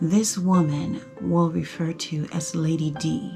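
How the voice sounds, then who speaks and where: Music plays in the background as a woman speaks at a very slow pace. Her pitch is fairly low, with ordinary variation. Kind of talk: spoken word poetry. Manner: emotional, dramatic.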